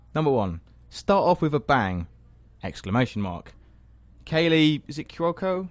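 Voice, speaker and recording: A man speaks at a moderate pace with long, frequent pauses. His fairly high voice moves in very wide pitch swings. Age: 20s. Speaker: student radio host. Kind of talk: casual chat. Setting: studio.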